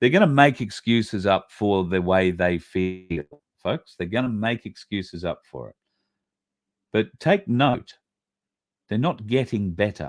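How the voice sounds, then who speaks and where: A man with an Australian accent talks at a fairly slow pace, leaving long, frequent pauses. His pitch is fairly low, his intonation lively, and the sound is dry and close with no echo. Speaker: online show host. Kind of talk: casual livestream monologue.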